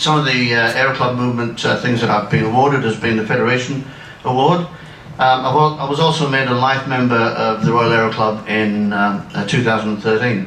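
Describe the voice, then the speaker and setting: A man's fairly quick speech comes through audible room echo and noticeable background noise. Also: medium pitch for a man, ordinary pitch variation. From northern England (near Darlington). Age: 60s. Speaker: retired amateur pilot and aero club life member. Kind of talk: anecdotal talk to an audience. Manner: halting, many fillers.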